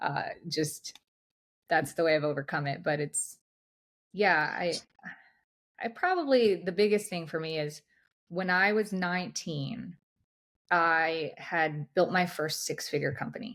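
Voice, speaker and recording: A woman's fairly low voice at a fairly slow pace, with long, frequent pauses and ordinary pitch variation, in a very clean recording with a silent background. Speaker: high-performance coach. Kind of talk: interview.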